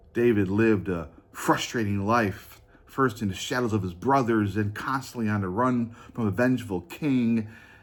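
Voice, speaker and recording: In a room with audible echo, a man speaks at a fairly low pitch with ordinary pitch variation. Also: moderate pace. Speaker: pastor. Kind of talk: sermon. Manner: halting.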